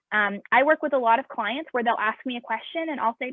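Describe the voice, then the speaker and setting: A woman talks at a very fast pace. Her high voice shows ordinary pitch variation. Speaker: marketing agency leader hiring students. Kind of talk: panel interview.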